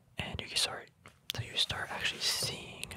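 Whispering, soft-spoken delivery. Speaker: reader studying a trading book. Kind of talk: casual tutorial commentary. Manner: soft ASMR whisper explaining a chart.

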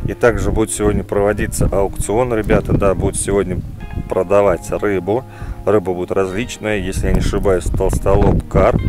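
Against clear background music, a man talks at a moderate pace with ordinary pitch variation, the sound dry with no echo. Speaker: fishing channel host. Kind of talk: casual vlog chat. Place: open country. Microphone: phone near.

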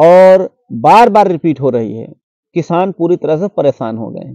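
A man's high-pitched voice with a dark, mellow tone, dry with no echo, over a quiet background. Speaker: livestock advice vlogger. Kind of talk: advice talk to camera. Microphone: lapel.

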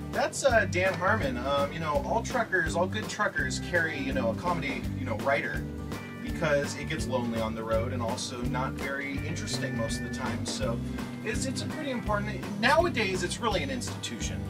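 Loud music plays in the background while a man talks at a fairly quick pace. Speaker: interviewee. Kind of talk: deadpan mock interview. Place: bus. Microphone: phone near.

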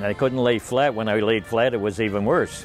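A man's medium-pitched voice at a moderate pace, ordinary in pitch variation, dry with no echo, over faint music in the background. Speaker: accordion player. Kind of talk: interview answer. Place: garden. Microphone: lapel.

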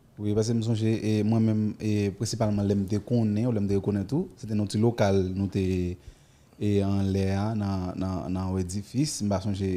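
A man with a fairly low pitch speaks at a very slow pace with monotone, flat intonation. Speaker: TV show host. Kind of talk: interview. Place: studio. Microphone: studio mic.

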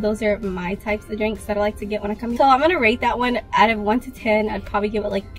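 A woman talks with fairly even intonation while faint music plays in the background. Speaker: vlogger. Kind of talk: casual vlog chat. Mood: relaxed, chatty. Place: car. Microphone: phone near.

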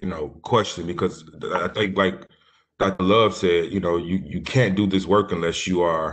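A man with a very deep, low pitch and an American accent, at a moderate pace with fairly even intonation, against a quiet background. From US South. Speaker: education professor, panelist; conference panelist. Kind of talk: panel discussion; panel discussion answer. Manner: halting, many repeated words. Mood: reflective, earnest. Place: home room. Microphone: video call.

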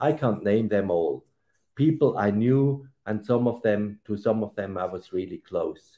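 Against a quiet background, a man speaks at a fairly slow pace. His voice is fairly low, with a dark, mellow tone. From Switzerland. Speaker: retired diplomat and author. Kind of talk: award acceptance speech. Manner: hesitant with fillers. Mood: earnest, solemn. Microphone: webcam.

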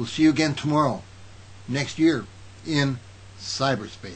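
A somewhat breathy man's voice, fairly high in pitch, at a fairly slow pace. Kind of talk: news reading then fervent prayer. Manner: fervent, pleading, earnest prayer. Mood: earnest, calm. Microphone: webcam.

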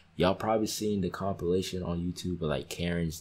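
Quiet and very deep, a man speaks at a very low pitch. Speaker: YouTube reaction creator. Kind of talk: reaction video commentary. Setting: at home, others sleeping. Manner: kept quiet, voice down. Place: home room.

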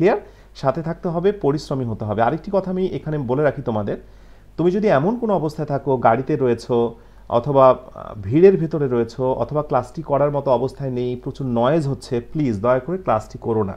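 A man with a plain, everyday voice, fairly high-pitched, with lively intonation. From Bangladesh. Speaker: English teacher. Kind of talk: online lecture. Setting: live stream.

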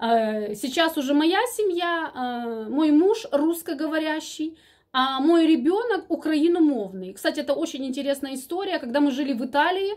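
With a Ukrainian accent, a woman speaks in a high pitch with lively intonation. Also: moderate pace, quiet background. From Ukraine. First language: Ukrainian (speaking Russian). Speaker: vlogger. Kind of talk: casual chat. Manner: halting, many filler sounds. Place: home room. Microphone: phone near.

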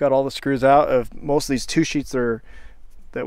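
A man speaks at a moderate pace in a monotone, flat intonation. The sound is dry with no echo, and the background is quiet. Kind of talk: casual vlog chat. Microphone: phone near.

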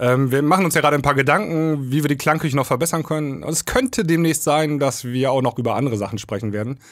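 A man's fairly high voice at a very fast pace, hardly any pauses, against a quiet background. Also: ordinary pitch variation. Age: 30s. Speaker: DJ and podcast co-host; DJ, podcast co-host. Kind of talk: casual chat. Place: studio. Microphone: studio mic.

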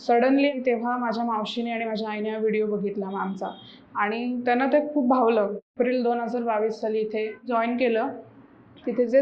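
Fairly even intonation from a woman with a high-pitched voice, with audible room echo. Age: 20s. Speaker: patient. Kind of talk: testimonial.

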